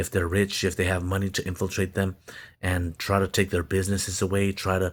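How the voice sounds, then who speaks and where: A man with a very deep, low pitch talks at a moderate pace in monotone, flat intonation, on a very clean recording with a silent background. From Stockton, California, Mexican American. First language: Spanish. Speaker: social media commentator. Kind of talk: monologue mixing reading aloud and commentary. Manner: halting, repeats words.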